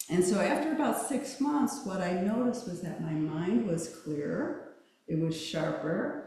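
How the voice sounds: A soft-spoken woman talks at a medium pitch with a dark, mellow tone and lively intonation. Her fairly slow delivery sits in strong room echo.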